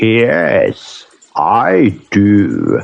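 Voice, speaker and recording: A raspy, growling put-on character voice. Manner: solemn.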